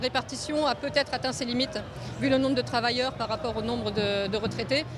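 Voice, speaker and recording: Very fast speech with fairly even intonation, audible room echo and music in the background. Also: woman. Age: 60s. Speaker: protester. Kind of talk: street interview. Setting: outdoors.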